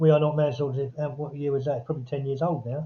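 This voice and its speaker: The voice is somewhat breathy. It carries a southern English accent. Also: man. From Epsom, Surrey, England. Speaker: author and publisher. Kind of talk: interview.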